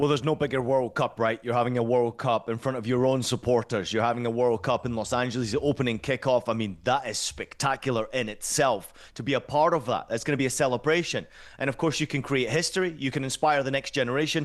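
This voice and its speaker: A man with a Scottish accent speaks at a medium pitch in an animated tone. His pace is very fast, with hardly any pauses. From Scotland. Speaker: football commentator. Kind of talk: punditry interview.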